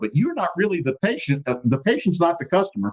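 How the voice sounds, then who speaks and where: With an American accent, a man talks in a lively, bouncing intonation. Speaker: podcast host. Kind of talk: casual explanatory talk. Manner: fast.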